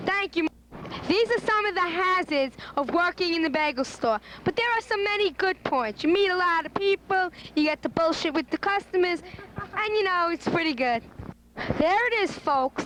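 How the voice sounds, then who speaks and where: Noticeable background noise sits under a speaker with an American accent and lively intonation. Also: woman, extremely high pitch for a woman, moderate pace. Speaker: amateur interviewer. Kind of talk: home movie narration.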